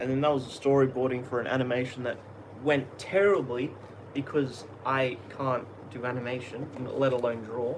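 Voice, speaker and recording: With an Australian accent, a man at medium pitch speaks at a moderate pace with fairly even intonation and long, frequent pauses, against noticeable background noise and audible room echo. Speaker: YouTube artist and content creator. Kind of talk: casual live stream chat. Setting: live stream at home. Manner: halting, repetitive.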